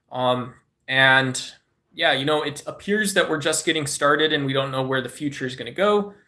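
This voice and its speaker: At a moderate pace, a man with a Southwestern US accent talks in a fairly high pitch with ordinary pitch variation. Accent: Southwest US. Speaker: live streamer. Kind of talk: casual live-stream chat. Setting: live stream. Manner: animated.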